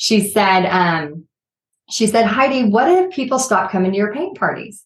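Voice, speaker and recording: A woman speaks with a normal speaking voice at a medium pitch and a moderate pace. Her pitch variation is ordinary, and the background is quiet. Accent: American. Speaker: art business owner, former teacher. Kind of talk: casual interview.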